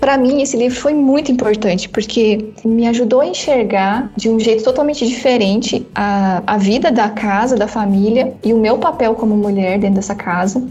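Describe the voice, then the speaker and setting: Over noticeable background noise, a woman talks at a moderate pace with hardly any pauses. Her voice is fairly high, with ordinary pitch variation and very even loudness. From northern Paraná, Brazil. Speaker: author and theology school coordinator. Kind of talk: casual interview.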